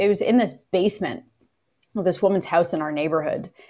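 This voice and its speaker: A woman with a Canadian accent talks at a fairly quick pace, in an ordinary speaking voice. Her pitch sits in the medium range and varies in an ordinary way. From Canada, Kingston, Ontario. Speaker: actor and film producer. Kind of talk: casual interview.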